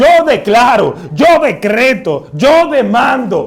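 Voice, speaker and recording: A man speaks in a put-on character voice, pitched extremely high and hoarse. His pitch swings very widely while he talks at a very slow pace. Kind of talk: pompous prayer language. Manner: forcefully commanding, booming.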